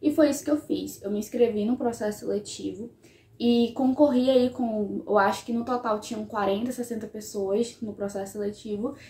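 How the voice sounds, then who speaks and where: With ordinary variation in her fairly high pitch, a woman speaks at a moderate speed. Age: 20s. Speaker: history student and YouTuber. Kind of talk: casual vlog talk to camera.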